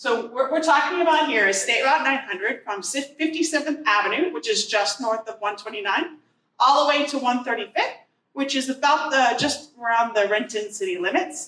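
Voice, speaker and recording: Loud woman's voice, high in pitch, with lively intonation and a moderate pace. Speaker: transportation agency planner. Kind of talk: presentation. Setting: community meeting with audience.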